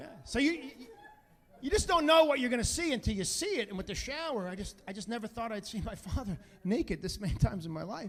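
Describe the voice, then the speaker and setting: Over noticeable background noise, a man talks at a very fast pace in an extremely high pitch, with very wide pitch swings and big swings in loudness. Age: 50s. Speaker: stand-up comedian. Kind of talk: stand-up comedy set.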